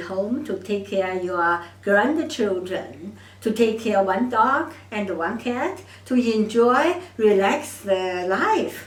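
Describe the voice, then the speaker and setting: A woman with a Chinese accent talks at a very slow pace, with audible room echo and noticeable background noise around her. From China. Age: 70s. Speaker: doctor of Chinese medicine. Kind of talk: monologue to camera. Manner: halting.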